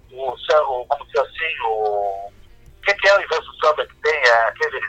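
Pitch swings very widely throughout this man's speech. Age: 60s. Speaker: rock musician. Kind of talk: interview.

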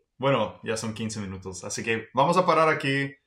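The man's tone is bright and sharp. He keeps a moderate pace. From Texas. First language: English (speaking Spanish). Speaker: podcast host, language teacher. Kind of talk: promo read; casual chat.

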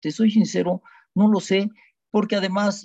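A man speaks with a Mexican accent. The sound is dry and close, with no echo. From Mexico. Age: 70s. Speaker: dentist, son of Holocaust survivor. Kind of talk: testimony.

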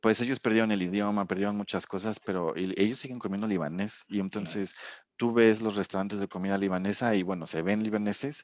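Over a quiet background, a man with an unremarkable speaking voice talks at a fairly quick pace, fairly low in pitch, his intonation fairly even. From Mexico. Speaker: sensory and consumer research scientist. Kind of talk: casual interview chat.

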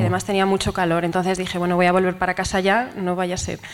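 A woman talks at a very fast pace with noticeable background noise behind her. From Ponferrada, Spain. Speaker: audience member telling a story. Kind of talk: comedic storytelling on stage. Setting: stage with live audience.

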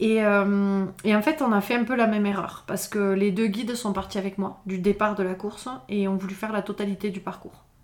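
A woman speaks at a medium pitch in a flat monotone, with hardly any pauses. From southern France (Pyrénées-Orientales, Font-Romeu). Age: 30s. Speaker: trail runner and mountaineer. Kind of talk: interview. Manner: hesitant, many fillers.

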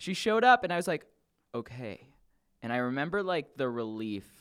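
A man with an American accent, his pitch swinging very widely, in a very clean recording with a silent background. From Los Angeles. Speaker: podcast guest. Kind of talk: casual chat.

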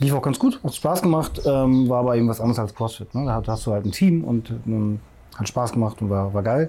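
A somewhat breathy man with a dark, mellow tone speaks at a moderate pace in a medium pitch, recorded very cleanly over a silent background. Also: ordinary pitch variation. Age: 40s. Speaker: CrossFit masters athlete and personal trainer. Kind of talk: casual interview. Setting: outdoors in a garden.

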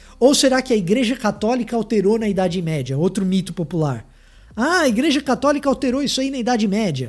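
A man at a very fast pace, high pitch and very wide pitch swings. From Salvador, Bahia, Brazil. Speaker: theologian. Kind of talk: lecture.

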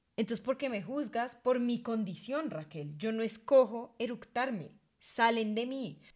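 Here a woman speaks in a normal speaking voice at a fairly high pitch. Her pace is fairly slow. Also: lively intonation. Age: 20s. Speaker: podcast co-host. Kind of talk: casual chat.

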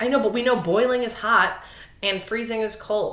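Speaking at a moderate pace with a Cleveland accent, a woman keeps a fairly high pitch and fairly even intonation. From Cleveland, Ohio. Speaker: podcast co-host.

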